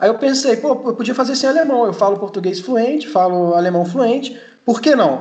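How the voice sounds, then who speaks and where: An extremely high-pitched male voice with lively intonation at a moderate pace. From Germany (Munich), then Brazil. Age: 20s. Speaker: mechanical engineer and trainee. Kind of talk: interview. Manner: halting, many repetitions.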